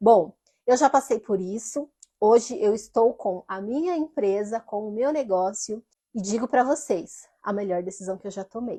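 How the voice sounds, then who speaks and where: In a dry, close sound with no echo and a quiet background, a woman with a fairly high pitch and a dark, mellow tone speaks at a moderate pace with ordinary pitch variation and big swings in loudness. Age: 30s. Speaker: former retail sales manager, confectionery delivery owner. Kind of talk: casual talk to camera.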